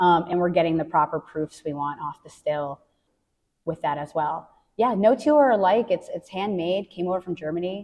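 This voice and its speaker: A woman with an American accent speaks in a plain, everyday voice at a fairly quick pace. Her pitch is fairly low, with ordinary variation. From US Northeast, central Massachusetts (Worcester County). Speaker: distillery hospitality manager. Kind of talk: interview conversation.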